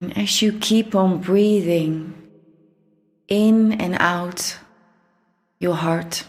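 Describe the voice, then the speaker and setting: Very slowly and with long, frequent pauses, a woman speaks with fairly even intonation. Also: medium pitch for a woman. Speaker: meditation guide. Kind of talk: guided meditation. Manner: slow, soft-spoken.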